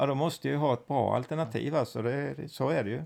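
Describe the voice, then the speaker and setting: A man speaks at a fairly quick pace with vocal fry. His pitch is medium, with ordinary variation. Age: 50s. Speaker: host's father. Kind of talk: casual chat.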